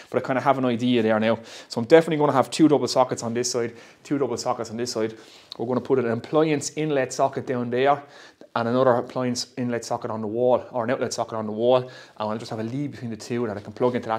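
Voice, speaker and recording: Against a quiet background, the speaker goes at a very fast pace with fairly even intonation. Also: man. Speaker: woodworker vlogger. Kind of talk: casual vlog chat. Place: workshop. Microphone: lapel.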